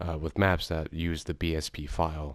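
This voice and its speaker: Recorded very cleanly against a silent background, a man speaks at a moderate pace in a very deep, low pitch with fairly even intonation. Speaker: game map creator. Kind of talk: casual talk to camera. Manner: soft-spoken, scatterbrained, hesitant.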